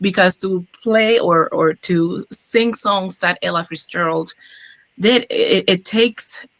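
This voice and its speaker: Her tone bright and sharp, a woman with a strong Cuban accent speaks with ordinary pitch variation. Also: dry, close sound with no echo. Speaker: jazz singer. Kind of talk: interview. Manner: halting.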